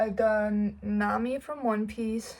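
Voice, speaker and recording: In a Danish accent, a woman with a fairly high pitch speaks at a very slow pace, her intonation monotone and flat. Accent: Danish accent, non-native English. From Denmark. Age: 19. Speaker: cosplay YouTuber. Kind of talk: casual get-to-know-me vlog, Q&A.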